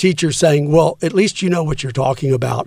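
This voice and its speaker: A man with an American accent and a normal speaking voice, fairly high in pitch with ordinary pitch variation. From Texas, San Antonio. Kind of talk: casual interview.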